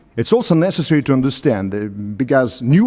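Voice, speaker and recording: A man talks at a fairly quick pace with a Russian accent. His tone is dark and mellow, and his pitch swings very widely. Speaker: professor. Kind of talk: panel discussion. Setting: conference hall with audience. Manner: halting.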